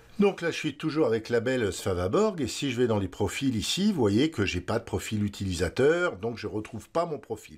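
This man's voice has very wide pitch swings. He keeps a moderate pace. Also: medium pitch for a man, hardly any pauses. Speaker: photography tutorial host. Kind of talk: tutorial. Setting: screen-recorded video tutorial. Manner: halting, many filler words.

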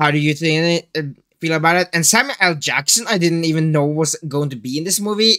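The background stays quiet. A man talks with a bright, sharp tone. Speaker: movie reaction youtuber. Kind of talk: casual vlog chat. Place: home room.

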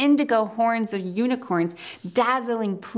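Plain reading aloud, the speaker lets the pitch vary in an ordinary way.

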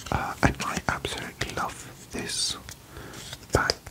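A man whispers at a fairly slow pace. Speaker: card collector content creator. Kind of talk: casual vlog chat. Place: home room.

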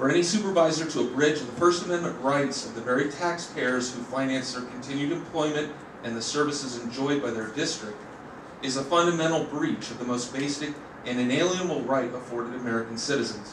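Noticeable background noise and audible room echo fill this man's recording. He talks at a fairly quick pace with ordinary pitch variation. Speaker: member of the public giving comment. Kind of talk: formal public comment read from script. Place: hall. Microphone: podium.

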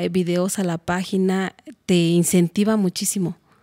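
A woman talks at a fairly slow pace with a dark, mellow tone. Her intonation is fairly even, against a quiet background. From Mexico, Hidalgo (Tula); Hidalgo, Mexico. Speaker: music composition student; interviewee. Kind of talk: interview. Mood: warm, at times emotional. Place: studio. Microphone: studio mic.

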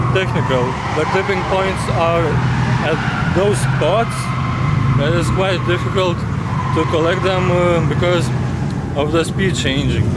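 A man at a fairly slow pace, ordinary pitch variation, loud background noise, and a dry sound with no echo. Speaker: drift team member vlogger. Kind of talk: casual vlog chat. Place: forest. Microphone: phone near.

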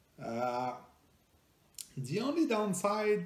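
A man's slightly mellow voice in a French Canadian accent, with strong room echo

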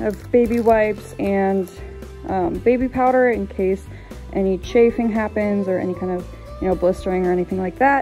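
There is faint music in the background. Over it, a woman talks at a moderate pace. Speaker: hiking vlogger. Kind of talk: casual vlog chat. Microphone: phone near.

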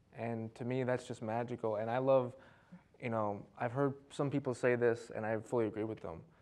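Here a man speaks with an American accent. His pace is moderate and his intonation fairly even. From Detroit, Michigan. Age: 30s. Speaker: poet and comedian; poet, comedian. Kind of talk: casual studio interview chat. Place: studio. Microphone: lapel.

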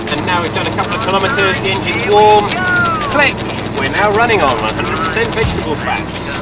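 The speaker talks at a very fast pace. Loud background noise sits behind the voice. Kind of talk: casual vlog commentary. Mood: cheerful, expectant. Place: car. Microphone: phone near.

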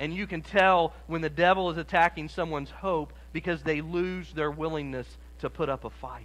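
A man's speech moves at a moderate pace, its intonation fairly even. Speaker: preacher. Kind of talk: sermon. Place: church.

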